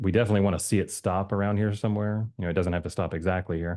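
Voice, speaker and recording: In quiet surroundings, a man's dark, mellow voice keeps a fairly even intonation. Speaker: crypto chart analyst youtuber. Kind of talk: casual chart analysis commentary. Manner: fast; hesitant, many fillers.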